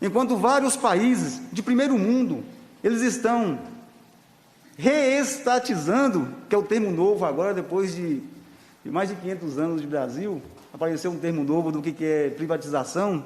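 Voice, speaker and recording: A man with a northern Minas Gerais accent speaks at a moderate pace in a high voice, his pitch swinging very widely, with long, frequent pauses, audible room echo and noticeable background noise. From Brazil, northern Minas Gerais (Salinas). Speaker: union leader. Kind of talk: public hearing testimony.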